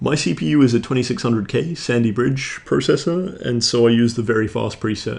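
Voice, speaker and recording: Speaking at a fairly quick pace, a man keeps a medium pitch. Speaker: streaming tutorial host. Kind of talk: software tutorial narration. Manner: monotone.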